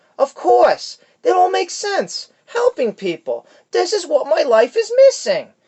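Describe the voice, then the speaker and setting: This is a put-on character voice at an extremely high pitch. It sounds whiny. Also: moderate pace. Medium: read story. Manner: whining, neurotic.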